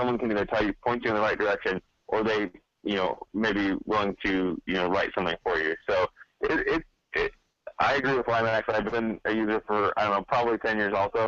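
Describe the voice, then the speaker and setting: A man talks at a fairly quick pace with a fairly low pitch and fairly even intonation. His loudness is very even, and the sound is dry and close with no echo. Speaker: podcast guest, geocaching software user. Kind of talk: casual chat. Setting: video call. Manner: fast.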